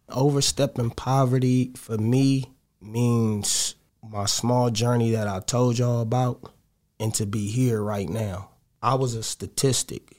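In a very clean recording with a silent background, a man speaks fairly slowly at a medium pitch with fairly even intonation. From Los Angeles, Crenshaw District. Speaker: DJ and rapper. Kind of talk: casual interview.

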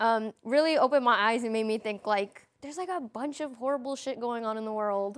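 With an American accent, a woman speaks in a plain, everyday voice, fairly high in pitch with ordinary pitch variation, on a very clean recording with a silent background. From Chicago South Side. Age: 20s. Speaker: community organizer. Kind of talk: panel discussion. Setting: studio.

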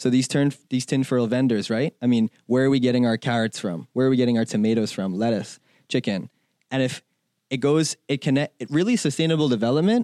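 A man with a dark, mellow tone speaks at a fairly quick pace in medium pitch with ordinary pitch variation. The recording is very clean, with a silent background and a dry, close sound with no echo. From Bahamas. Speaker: brand team member, student. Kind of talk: casual interview.

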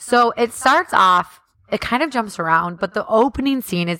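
A woman speaks at a moderate pace with an animated, bright, sharp tone and lively intonation, the sound dry and close with no echo. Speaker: podcast co-host. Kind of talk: casual chat.

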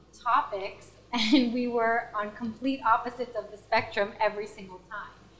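A woman speaks in a Spanish accent at a fairly slow pace. Her pitch is fairly high. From US, Washington DC and Pennsylvania. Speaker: guest, former grad school roommate. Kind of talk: casual chat.

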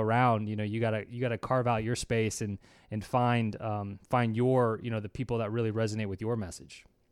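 With hardly any pauses, a man speaks fairly quickly at a medium pitch in a monotone, flat intonation on a very clean recording with a silent background. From Louisiana, New Orleans. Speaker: online piano course creator. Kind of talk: interview. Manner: hesitant, many fillers and repetitions.

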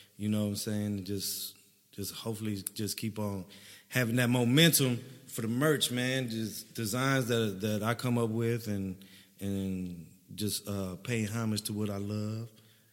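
A man speaks slowly-ish, at a fairly slow pace, with fairly low pitch and fairly even intonation. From Dallas, Texas (Oak Cliff). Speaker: comedian. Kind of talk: casual chat.

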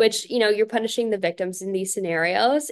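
This woman has an unremarkable speaking voice with an American accent. Her pitch is medium with ordinary pitch variation. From North Carolina, Fayetteville. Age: 20s. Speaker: pageant titleholder and law student. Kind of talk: casual interview chat.

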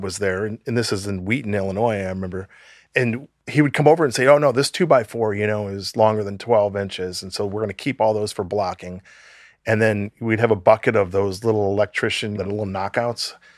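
Recorded dry and close with no echo against a quiet background, a man with an American accent has an unremarkable speaking voice, ordinary pitch variation and a fairly quick pace. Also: fairly low pitch for a man. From US Midwest, Chicago suburbs. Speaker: nonprofit founder. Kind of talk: interview. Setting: video call.

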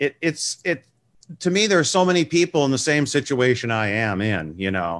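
A man with an American accent, a medium pitch and very wide pitch swings. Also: moderate pace. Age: 60s. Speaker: music TV show host. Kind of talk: casual interview chat. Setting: video call.

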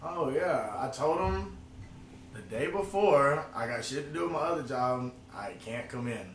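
Fairly high-pitched and lively in intonation, a man speaks amid noticeable background noise and audible room echo. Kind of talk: casual chat.

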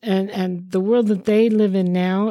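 A woman speaks in an unremarkable speaking voice at a medium pitch. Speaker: host's wife, guest. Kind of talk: casual chat.

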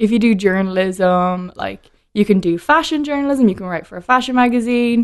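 In a Dublin accent, a woman talks at a fairly quick pace with lively intonation and big swings in loudness. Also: medium pitch for a woman. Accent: Irish (Dublin). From Ireland (Dublin). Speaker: whiskey brand ambassador. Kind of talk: casual chat.

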